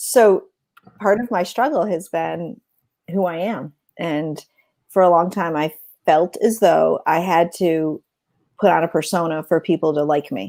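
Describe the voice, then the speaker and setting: A woman speaks at a fairly slow pace, her fairly low voice dark and mellow with vocal fry. Her pitch varies in an ordinary way, and long pauses come often. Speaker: podcast co-host. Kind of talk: casual chat. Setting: livestream. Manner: loud.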